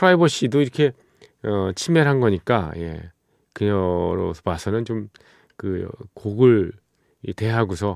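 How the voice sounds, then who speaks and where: Recorded very clean with a silent background and a dry, close sound with no echo, a man with a fairly low pitch uses an unremarkable speaking voice and lively intonation. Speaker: radio DJ and producer. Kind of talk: late-night radio music show. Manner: relaxed, conversational with many fillers.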